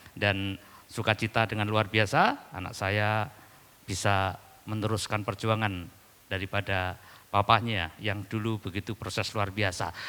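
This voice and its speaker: A man speaks in a flat, monotone way at a fairly slow pace. His tone is bright and sharp. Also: fairly low pitch for a man. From East Java, Indonesia (Dayak from Central Kalimantan). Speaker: pastor. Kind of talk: sermon. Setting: church.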